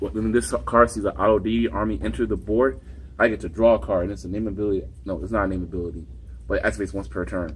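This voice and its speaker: A man with very deep, low pitch and vocal fry talks at a very fast pace with very wide pitch swings. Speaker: card game player. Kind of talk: casual chat. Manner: halting.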